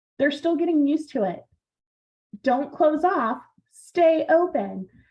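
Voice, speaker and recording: Delivered at a moderate pace, a plain, everyday voice rises and falls with lively intonation. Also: woman. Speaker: project management presenter. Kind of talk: online seminar presentation.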